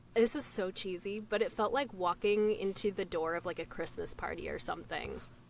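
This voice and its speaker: A woman's ordinary speaking voice at medium pitch, with ordinary pitch variation, a fairly quick pace and hardly any pauses. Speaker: voice actor. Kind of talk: casual chat.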